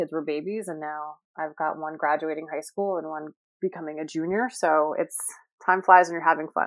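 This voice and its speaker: A woman's very deep, low voice in an American accent, at a fairly quick pace, with monotone, flat intonation. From New York area (Rye, New York). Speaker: school fundraising director. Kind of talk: interview.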